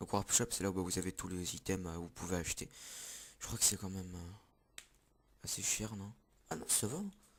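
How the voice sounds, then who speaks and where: A man is speaking. His pitch is fairly low and his pace moderate. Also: long, frequent pauses, big swings in loudness. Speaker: gaming youtuber. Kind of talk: gameplay commentary. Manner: loud.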